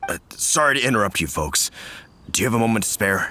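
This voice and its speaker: Raspy and medium in pitch, a man puts on a character voice. He talks at a very fast pace. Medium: video game. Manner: earnest, polite.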